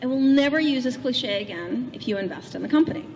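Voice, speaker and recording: A woman talks at a fairly quick pace with lively intonation, amid audible room echo and noticeable background noise. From Russia, St. Petersburg. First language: Russian. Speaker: keynote speaker. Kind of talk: keynote speech. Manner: animated.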